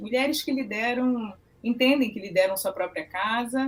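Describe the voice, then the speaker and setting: A woman with a Rio de Janeiro accent, high-pitched and lively in intonation, speaking at a fairly slow pace over music in the background. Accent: carioca. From Brazil, Rio de Janeiro. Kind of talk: interview.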